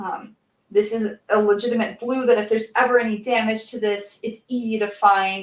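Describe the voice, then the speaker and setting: A fairly high-pitched woman at a moderate pace, monotone and flat in intonation. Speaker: crafting streamer, cosplay maker. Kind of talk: casual livestream chat while painting. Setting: livestream. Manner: soft-spoken.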